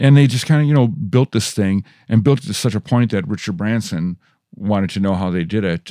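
Speaking with an American accent at a fairly quick pace, a man with a fairly low pitch and a dark, mellow tone uses lively intonation, recorded very cleanly with a silent background and a dry, close sound without echo. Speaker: rock musician and audio engineering teacher. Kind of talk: casual interview with storytelling. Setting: studio. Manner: animated.

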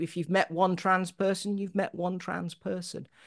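Vocal fry runs through this woman's voice. Her pitch is medium. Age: 50s. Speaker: poet and Anglican priest. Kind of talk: interview conversation.

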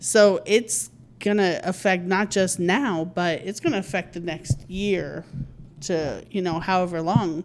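Speaking at a fairly slow pace with ordinary pitch variation, this is an unremarkable speaking voice on a very clean recording with a silent background. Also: woman, medium pitch for a woman. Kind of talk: casual chat.

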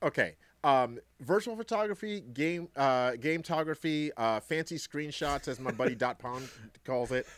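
An American-accented man speaks at a moderate pace with a fairly high pitch and lively intonation, in an unremarkable speaking voice. The recording is very clean, with a silent background. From Brooklyn, New York. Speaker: gaming streamer and devotional podcaster. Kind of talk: casual chat.

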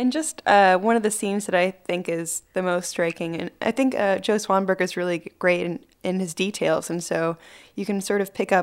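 In a very clean recording over a silent background, a woman with an unremarkable speaking voice talks at a moderate pace, with fairly low pitch and fairly even intonation. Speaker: host of house viewing. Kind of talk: casual chat.

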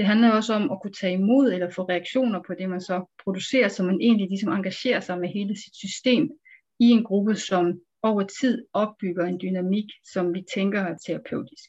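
This somewhat breathy voice moves at a moderate pace with ordinary pitch variation. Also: woman, medium pitch for a woman. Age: 40s. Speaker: psychiatrist. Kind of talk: interview. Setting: video call. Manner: hesitant with fillers.

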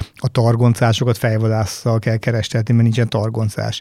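Speaking at a fairly quick pace, a man uses a medium pitch and a dark, mellow tone with monotone, flat intonation. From Hungary, Battonya (southeast, Békés county). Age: 50s. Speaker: company managing director. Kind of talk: interview.

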